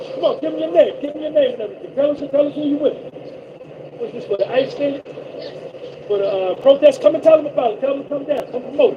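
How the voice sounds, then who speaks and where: A man speaks at a very fast pace in an animated tone, with big swings in loudness, long, frequent pauses and noticeable background noise. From Brooklyn, New York. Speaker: live streamer, trucker. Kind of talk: casual live stream chat. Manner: repetitive, animated.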